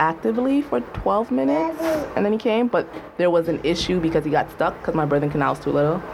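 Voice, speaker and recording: Over noticeable background noise, a woman with a fairly low pitch talks at a fairly quick pace, her voice making very wide pitch swings. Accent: American. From US, Jamaican household. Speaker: writer. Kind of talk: casual chat. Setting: studio.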